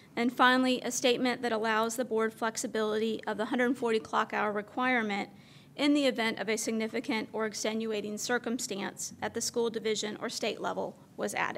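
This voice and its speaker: Against light background noise, a woman talks at a fairly quick pace with monotone, flat intonation. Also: fairly high pitch for a woman. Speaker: school district chief academic officer. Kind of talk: formal presentation at board meeting. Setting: public meeting hall. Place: hall. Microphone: podium.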